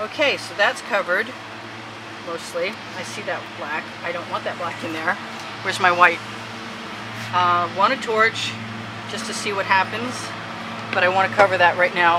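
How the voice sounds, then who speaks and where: There is noticeable background noise behind a woman at a medium pitch. Her loudness swings widely, and she takes long, frequent pauses. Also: ordinary pitch variation, moderate pace. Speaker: fluid acrylic artist. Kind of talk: tutorial. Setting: outdoor backyard art studio. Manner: stumbling, with filler ums.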